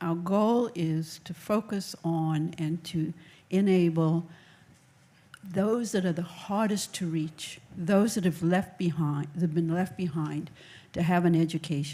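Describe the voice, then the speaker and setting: Soft-spoken and somewhat breathy, a woman with a fairly low pitch and a dark, mellow tone speaks at a fairly slow pace with fairly even intonation. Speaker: education nonprofit executive. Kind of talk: panel discussion.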